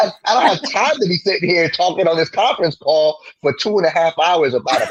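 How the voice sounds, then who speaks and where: In an animated tone, a man with a New Jersey accent talks at a fairly quick pace and a fairly high pitch. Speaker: sterile processing educator and podcaster. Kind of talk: interview.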